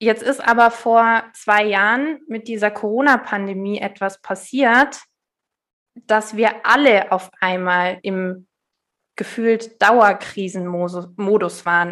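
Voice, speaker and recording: This woman's voice sits fairly high, with fairly even intonation. She talks at a very slow pace. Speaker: resilience coach. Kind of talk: casual interview.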